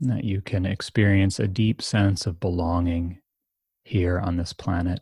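A man with an American accent speaks at a moderate pace in a very deep, low pitch, his tone dark, mellow and somewhat breathy, with fairly even intonation. The recording is very clean with a silent background and a dry, close sound with no echo. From United States. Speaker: meditation teacher and author. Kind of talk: interview conversation.

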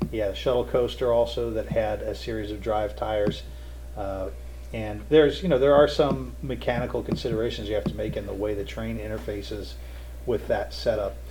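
Audible room echo surrounds the voice. A man speaks at a fairly quick pace. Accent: American. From Ohio/Kentucky, Cincinnati area. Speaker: roller coaster engineer. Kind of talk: interview.

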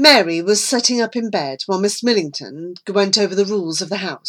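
With ordinary pitch variation, this is an unforced reading voice.

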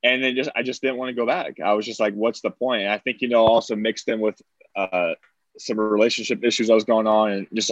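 The sound is dry and close, with no echo. A man talks fairly quickly at a medium pitch, his intonation fairly even. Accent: American. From US Midwest, Angola, Indiana. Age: 20s. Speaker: delivery business founder. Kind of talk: casual chat.

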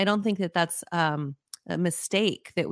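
A woman with an American accent and a plain, everyday voice talks at a moderate pace and fairly low pitch with ordinary pitch variation, on a very clean recording with a silent background and a dry, close sound with no echo. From New Mexico, US (Las Cruces, near the Mexican border). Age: 40s. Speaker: executive coach, former opera singer. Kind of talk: interview.

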